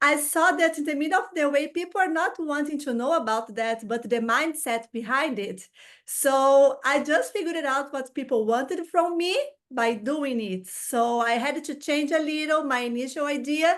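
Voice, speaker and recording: Lively intonation with a Portuguese accent, a moderate pace and a quiet background. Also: woman, high pitch for a woman. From Brazil. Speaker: social media content creator. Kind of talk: interview. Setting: video call.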